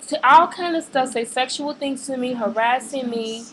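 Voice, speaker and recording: With an American accent, a woman with a high pitch talks at a moderate pace and ordinary pitch variation against noticeable background noise. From Chicago, US. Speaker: vlogger. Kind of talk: webcam rant. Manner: hesitant, many fillers.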